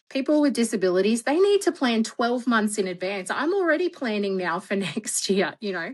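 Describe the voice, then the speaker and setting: Loud and fairly high-pitched, a woman speaks at a moderate pace with very wide pitch swings. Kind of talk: interview conversation.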